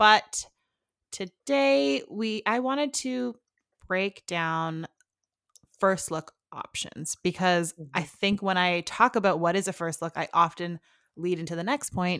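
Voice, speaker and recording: A woman's normal speaking voice, fairly low in pitch, with lively intonation at a fairly slow pace, in a dry, close sound with no echo. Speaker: wedding planner and podcast host. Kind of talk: casual chat.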